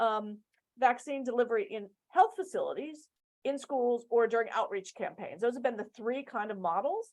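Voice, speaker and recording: Here a woman speaks in a high voice with lively intonation. Her loudness swings widely. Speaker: global health program expert. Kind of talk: webinar presentation. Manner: fast.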